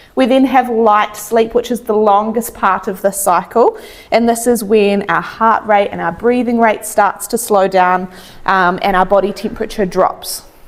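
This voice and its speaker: With a New Zealand accent, a woman speaks at a fairly high pitch and fairly even intonation amid noticeable background noise. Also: moderate pace. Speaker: chiropractor. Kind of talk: health talk. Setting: stage with audience.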